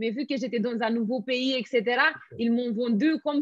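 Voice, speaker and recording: A woman with a Romanian accent sounds enthusiastic and energetic. Her voice is high, with ordinary pitch variation. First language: Romanian (speaking French). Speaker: network marketing entrepreneur. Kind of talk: interview. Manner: enthusiastic, energetic.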